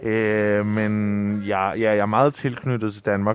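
His voice sits fairly low. The man's speech moves at a very slow pace. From Rome, Italy. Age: 20s. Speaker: son of the guest. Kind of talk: interview. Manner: halting, many fillers.

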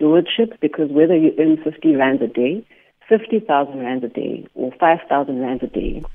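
This woman speaks with a South African accent in a very deep, low pitch. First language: isiXhosa. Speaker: podcaster, former finance professional. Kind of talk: radio interview. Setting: phone call.

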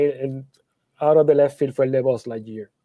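A man with an ordinary speaking voice, fairly high in pitch, with fairly even intonation. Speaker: comic convention producer, podcast co-host. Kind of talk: casual chat.

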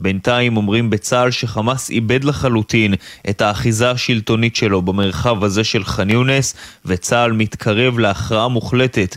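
A man speaks at medium pitch with ordinary pitch variation, a plain, everyday voice. The sound is dry and close, with no echo. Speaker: military correspondent. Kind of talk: news report.

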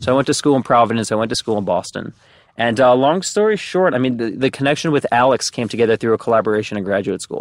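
Very fast speech with a New Jersey accent and ordinary pitch variation comes through a very clean recording with a silent background and a dry, close sound with no echo. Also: man, medium pitch for a man. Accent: New Jersey American. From New Jersey, US. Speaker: startup executive. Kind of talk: casual interview.

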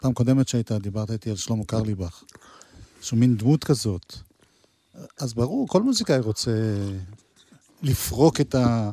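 With a dark, mellow tone, a man speaks at a medium pitch and a moderate pace. He takes long, frequent pauses, and his pitch varies in an ordinary way. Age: 60s. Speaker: music show host. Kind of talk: casual interview; storytelling.

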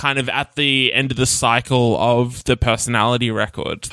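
A man with an Australian accent speaks at a moderate pace in a bright, sharp tone. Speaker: podcast host. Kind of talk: casual interview.

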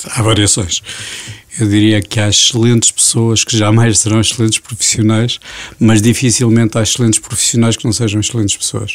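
Against noticeable background noise, a man talks in a monotone, flat intonation at a medium pitch, the sound dry and close with no echo. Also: fairly quick pace. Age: 50s. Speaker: business association director. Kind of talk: interview.

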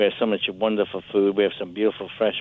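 This man has an Italian accent. His voice sits at a fairly low pitch. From Italy, Capri. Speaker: chef. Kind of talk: casual chat.

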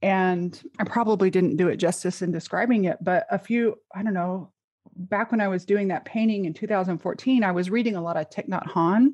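Against a quiet background, a woman with a plain, everyday voice talks at a fairly quick pace, with medium pitch and ordinary pitch variation. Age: 40s. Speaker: coach. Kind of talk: casual chat.

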